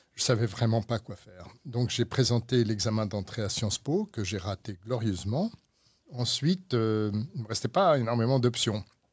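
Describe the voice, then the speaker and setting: A somewhat breathy man talks at a moderate pace with ordinary pitch variation. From France. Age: 60s. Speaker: lawyer. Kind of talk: interview.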